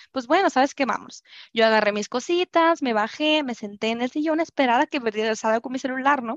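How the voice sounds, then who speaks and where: Speaking at a very fast pace, a woman with a high pitch uses ordinary pitch variation. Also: dry, close sound with no echo. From Culiacán, Sinaloa, Mexico. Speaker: podcast guest sharing a personal story. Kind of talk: personal storytelling in casual interview.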